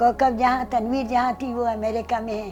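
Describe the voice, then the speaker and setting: A woman's fairly high-pitched voice, with fairly even intonation and music in the background. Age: 80s+. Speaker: singer. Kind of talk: interview answer.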